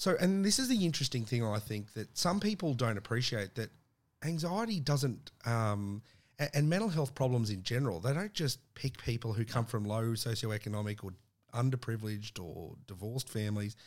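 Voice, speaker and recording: On a very clean recording with a silent background, a man with an Australian accent speaks at a fairly quick pace and medium pitch, with lively intonation. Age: 30s. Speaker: podcast host. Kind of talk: casual interview.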